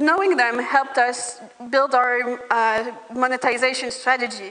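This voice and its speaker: A woman with a non-native accent speaks at a fairly slow pace in a high pitch with fairly even intonation. Noticeable background noise sits behind her. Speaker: startup founder. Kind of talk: pitch presentation.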